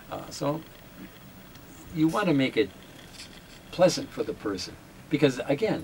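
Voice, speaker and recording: A man with a fairly high pitch speaks with lively intonation and long, frequent pauses. Noticeable background noise runs underneath. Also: moderate pace. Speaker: radio jazz show host and newsreader. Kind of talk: interview.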